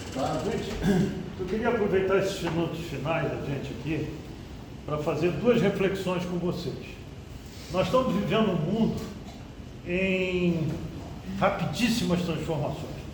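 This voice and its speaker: A man with a high pitch talks at a fairly slow pace, with ordinary pitch variation and long, frequent pauses. Audible room echo and noticeable background noise fill the recording. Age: 70s. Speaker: speaker at education seminar. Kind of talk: panel talk.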